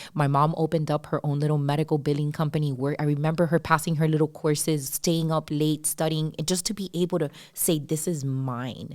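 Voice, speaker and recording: On a very clean recording with a silent background, a woman with a very deep, low voice speaks at a fairly quick pace in a monotone, flat manner, hardly pausing at all. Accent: Miami. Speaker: podcast co-host. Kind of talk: casual chat. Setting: podcast recording, Miami.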